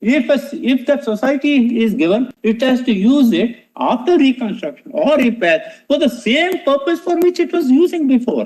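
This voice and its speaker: Speaking at a moderate pace with hardly any pauses, a man with an extremely high pitch keeps his loudness very even and his intonation lively. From India, Bombay. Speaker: senior advocate. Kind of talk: courtroom argument. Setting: courtroom. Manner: formal.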